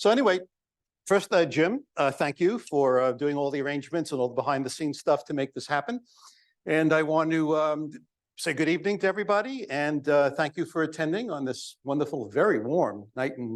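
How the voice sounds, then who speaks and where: This man talks at a fairly quick pace with a New York accent and a fairly high pitch. His intonation is lively, and the background is quiet. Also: big swings in loudness. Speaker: psychologist, guest speaker. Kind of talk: public talk. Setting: banquet hall with audience.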